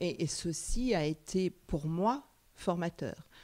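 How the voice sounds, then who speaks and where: Against a silent background in a very clean recording, a woman talks with a dark, mellow tone and vocal fry. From France, Paris suburbs (Sarcelles). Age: 60s. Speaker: psychoanalyst. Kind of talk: interview. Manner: hesitant with many fillers.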